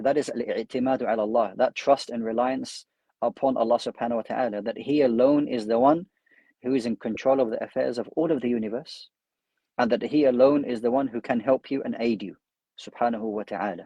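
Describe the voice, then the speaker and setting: In a London accent, the speaker talks at a very fast pace with fairly even intonation and a dark, mellow tone, in a dry, close sound with no echo against a quiet background. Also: man, medium pitch for a man. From London, UK. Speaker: Islamic scholar and imam. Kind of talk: religious lecture.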